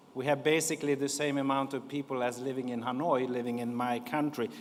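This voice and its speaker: Noticeable background noise runs behind a man speaking with a Swedish accent. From Sweden. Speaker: diplomat. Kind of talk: conference speech.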